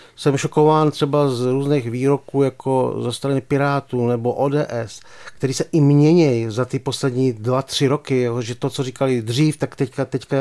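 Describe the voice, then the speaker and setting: A man speaks at a moderate pace with hardly any pauses, a medium pitch, a dark, mellow tone and monotone, flat intonation, in a very clean, dry, close recording with no echo and a silent background. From Czech Republic, Pardubice. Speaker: sports journalist. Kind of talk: casual chat.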